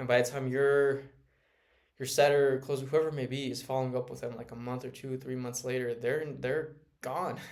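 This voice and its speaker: A soft-spoken man talks at a medium pitch with flat, monotone intonation. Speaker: sales automation consultant. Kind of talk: casual talk to camera. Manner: halting.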